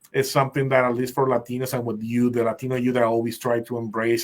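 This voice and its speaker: With a Spanish accent, this speaker moves at a fairly quick pace and keeps a fairly even intonation. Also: man. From Puerto Rico. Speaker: program specialist hosting a discussion group. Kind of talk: group discussion. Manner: halting.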